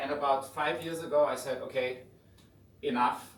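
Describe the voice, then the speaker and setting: With audible room echo, a man speaks in a German accent. His voice is fairly high-pitched and somewhat breathy. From Germany. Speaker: visiting finance professor and fintech founder. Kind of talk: lecture. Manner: conversational.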